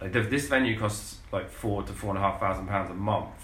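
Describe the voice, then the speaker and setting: A man speaks with a fairly low pitch and ordinary pitch variation. Noticeable background noise is present. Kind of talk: casual chat. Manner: joking, irreverent.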